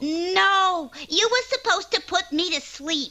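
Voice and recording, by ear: This female-sounding voice is a cartoonish character voice, pitched extremely high for a woman and delivered at a fairly slow pace.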